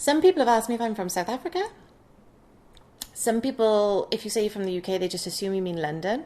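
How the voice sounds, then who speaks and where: A woman's fairly high voice with lively intonation and a Welsh accent. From Wales. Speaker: vlogger. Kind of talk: casual chat.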